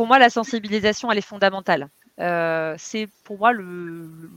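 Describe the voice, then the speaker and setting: A woman speaks at a moderate pace and a medium pitch, with ordinary pitch variation. The sound is dry and close with no echo, in a very clean recording with a silent background. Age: 40s. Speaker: digital communication consultant and trainer. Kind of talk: interview. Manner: hesitant, many fillers.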